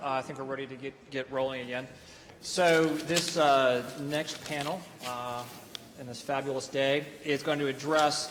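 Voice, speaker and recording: With an American accent and a fairly high pitch, a man speaks in a monotone, flat intonation amid audible room echo and noticeable background noise. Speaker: panel moderator. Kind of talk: panel introduction. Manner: halting, many fillers.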